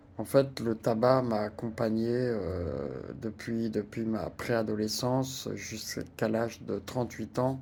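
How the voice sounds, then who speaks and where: A man speaks very slowly at a medium pitch with ordinary pitch variation. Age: 60s. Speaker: retiree sharing personal experience. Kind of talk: personal testimony. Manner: hesitant, many fillers and repetitions.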